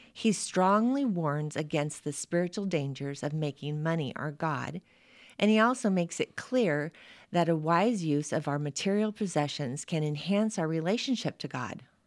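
On a very clean recording with a silent background, a woman with a fairly low pitch uses a plain, everyday voice with lively intonation at a moderate pace. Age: 60s. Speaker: pastor. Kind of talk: devotional reading; casual chat.

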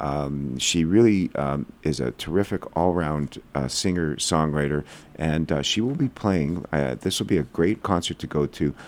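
Speaking at a moderate pace with hardly any pauses, a man uses a very deep, low voice with ordinary pitch variation. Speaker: community news coordinator. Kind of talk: radio interview. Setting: studio.

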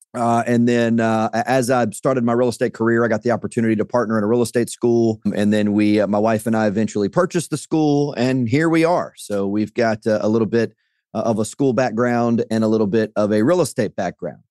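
Delivered at a fairly quick pace with hardly any pauses, the voice has a dark, mellow tone, ordinary pitch variation and very even loudness, with a dry, close sound with no echo over a quiet background. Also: man, medium pitch for a man. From Louisiana. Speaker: real estate broker and school head. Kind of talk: interview.

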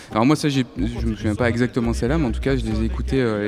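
A man speaks with a medium pitch. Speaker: radio host. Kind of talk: live public radio show. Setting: live in arts centre hall with audience.

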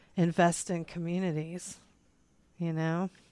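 On a very clean recording with a silent background, a woman speaks at a fairly low pitch in an East Tennessee accent. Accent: US Southern (East Tennessee). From East Tennessee (Kodak). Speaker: podcast co-host and drag show organizer. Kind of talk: casual chat.

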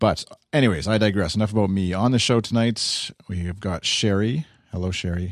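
A man with a Canadian accent speaks at a fairly quick pace in an unremarkable speaking voice, his pitch fairly low with ordinary variation, against a quiet background. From Saskatchewan, Canada. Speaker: podcast host. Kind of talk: casual chat.

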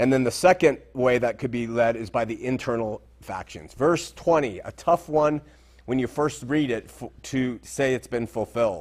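A man's unremarkable speaking voice, medium in pitch with ordinary variation, at a moderate pace. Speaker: Bible teacher. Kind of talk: Bible study lecture.

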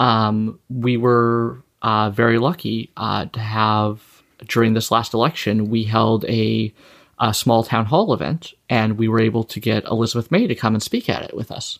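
On a very clean recording with a silent background, a man with an ordinary speaking voice and a Canadian accent talks at a medium pitch with fairly even intonation. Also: moderate pace. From Saskatchewan, Canada. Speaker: political campaign manager. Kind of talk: casual interview chat.

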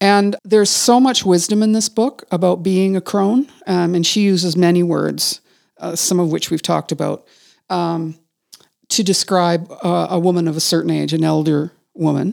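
A woman's plain, everyday voice in a Canadian accent, fairly low, with ordinary pitch variation and a moderate pace. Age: 50s. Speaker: podcast host, writer and executive coach. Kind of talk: casual conversation between friends.

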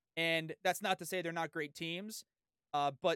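Recorded very cleanly with a silent background and a dry, close sound with no echo, a man with an American accent and an ordinary speaking voice talks at a moderate pace, with a fairly high pitch and ordinary pitch variation. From San Diego, California. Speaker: sports podcast host. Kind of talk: casual interview chat.

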